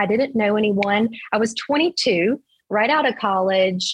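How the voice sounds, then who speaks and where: This woman talks at a very slow pace, her fairly high voice somewhat breathy, with ordinary pitch variation. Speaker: real estate agent. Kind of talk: interview.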